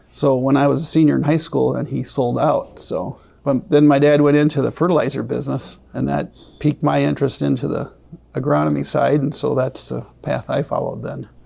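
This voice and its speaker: Someone with a Wisconsin accent talks at a fairly quick pace. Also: man. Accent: Upper Midwest (Wisconsin). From south central Wisconsin. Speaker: crop consultant and farmer. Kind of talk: interview.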